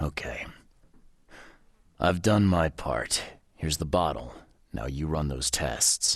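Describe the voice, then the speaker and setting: A man's put-on character voice, very deep and low in pitch, at a fairly slow pace with long, frequent pauses. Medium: video game. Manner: terse, direct.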